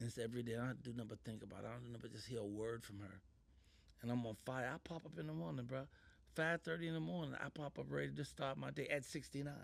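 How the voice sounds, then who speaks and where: Man speaking at a very fast pace, medium pitch with very wide pitch swings. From Chicago, US. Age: 60s. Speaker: comedian and actor. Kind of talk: interview conversation. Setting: studio. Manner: animated.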